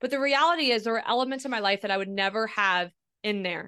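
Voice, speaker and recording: Against a quiet background, a woman with an American accent talks at a very fast pace in a bright, sharp tone with ordinary pitch variation. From Ohio. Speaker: speaker and podcaster. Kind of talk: interview conversation.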